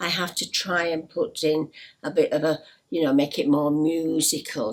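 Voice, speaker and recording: In a Yorkshire accent, a woman speaks at a fairly slow pace with a very deep, low pitch. Noticeable background noise runs under her voice. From Yorkshire, northern England. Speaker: storytelling teacher for parents. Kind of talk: tutorial. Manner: hesitant, many fillers.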